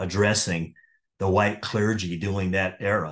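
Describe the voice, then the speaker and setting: The speaker talks at a fairly slow pace in a monotone, flat intonation. The background is quiet. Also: man. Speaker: pastor and seminary lecturer. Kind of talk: lecture. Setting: online course. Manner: halting.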